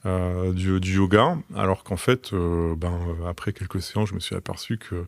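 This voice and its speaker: A man speaks at a moderate pace in a very deep, low voice, recorded very cleanly against a silent background with a dry, close sound and no echo. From France, Troyes (Aube). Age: 40s. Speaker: logistics manager, podcast guest. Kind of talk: interview. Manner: hesitant, many fillers.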